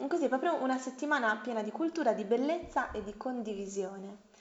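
A woman's fairly high, a normal speaking voice, at a fairly quick pace with ordinary pitch variation. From Bologna, Italy. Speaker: guest. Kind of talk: casual interview chat.

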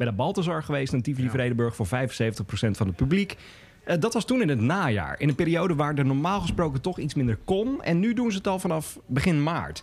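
Fairly high-pitched and somewhat breathy, a man speaks at a fairly quick pace with very wide pitch swings and very even loudness. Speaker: podcast host. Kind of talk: casual chat. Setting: pub.

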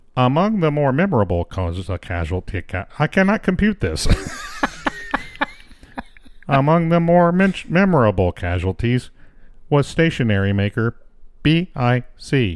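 Putting on a character voice, a man at a medium pitch makes very wide pitch swings, moving at a moderate pace with long, frequent pauses.

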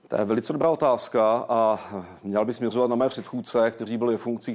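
Fairly even intonation in a plain, everyday voice. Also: man. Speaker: director of a historical research institute. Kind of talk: TV interview. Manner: formal.

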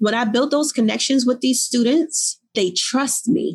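A woman speaks with a Newark accent. Her pitch variation is ordinary. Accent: New Jersey, Newark urban. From Newark, New Jersey. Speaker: author and life coach. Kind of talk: casual interview conversation.

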